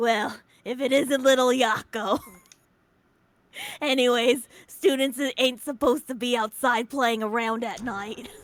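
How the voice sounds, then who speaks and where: A raspy, put-on character voice sits at a fairly high pitch. It moves at a fairly slow pace with long, frequent pauses. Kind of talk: gruff, casual.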